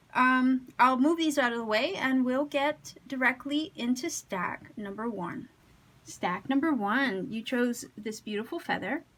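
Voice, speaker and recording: A woman speaks with a high voice and ordinary pitch variation. Her pace is fairly slow. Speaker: tarot reader. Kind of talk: tarot reading to camera. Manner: careful, slightly impeded speech; conversational, with fillers.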